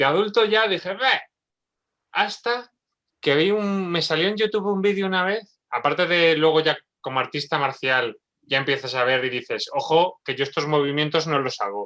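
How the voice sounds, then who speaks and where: With an Aragonese accent, the voice has a bright, sharp tone and lively intonation. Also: man, fairly high pitch for a man, moderate pace. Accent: Spanish from Spain (Aragon). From Spain, Zaragoza. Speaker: neurobiologist. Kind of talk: casual chat.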